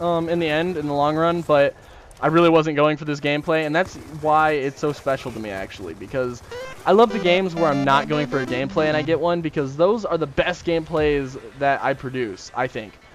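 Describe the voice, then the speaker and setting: A man talks fairly quickly at a fairly high pitch, with music in the background. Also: ordinary pitch variation. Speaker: gaming YouTuber. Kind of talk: gameplay commentary. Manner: fast.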